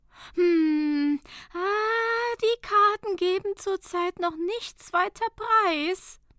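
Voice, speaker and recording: A woman puts on a character voice, pitched extremely high and raised to project. She speaks at a very slow pace. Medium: read story. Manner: ominous, fretful.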